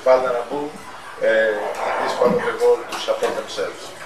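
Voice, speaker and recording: Noticeable background noise accompanies the man as he talks at a moderate pace. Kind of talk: interview answer. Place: cafe.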